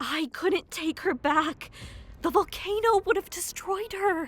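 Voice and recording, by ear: A woman puts on a character voice, extremely high-pitched and fairly bright, with lively intonation and a slow pace over faint background music.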